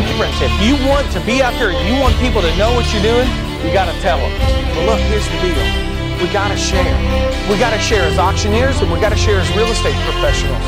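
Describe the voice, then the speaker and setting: A man at a very fast pace, dry sound with no echo, loud music in the background. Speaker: auctioneer and real estate broker. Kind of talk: motivational speech. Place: classroom.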